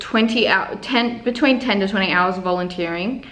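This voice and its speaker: Using an Australian accent, a woman speaks at a moderate pace in a fairly high voice with fairly even intonation. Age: 20s. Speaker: university nutrition student. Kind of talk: casual talk to camera. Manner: relaxed, chatty.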